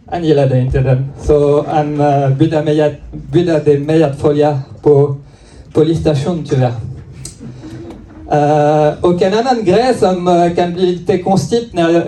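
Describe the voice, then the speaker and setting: At a very slow pace, a man with a fairly high pitch and ordinary pitch variation keeps his loudness very even amid audible room echo. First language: French (speaking Swedish). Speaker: stand-up comedian. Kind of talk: stand-up. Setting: comedy club stage with audience. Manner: halting, many fillers.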